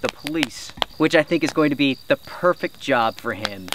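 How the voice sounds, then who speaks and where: Recorded dry with no echo but with noticeable background noise, a man speaks at a moderate pace. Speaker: camping vlogger. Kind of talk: casual vlog chat. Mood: warm, proud, laughing. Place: open country. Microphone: camera far.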